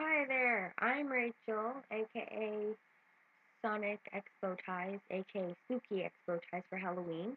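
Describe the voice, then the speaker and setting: Over music in the background, a woman talks fairly slowly at a fairly high pitch with ordinary pitch variation. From Canada. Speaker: vlogger. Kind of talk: casual Q&A vlog. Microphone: poor sound quality.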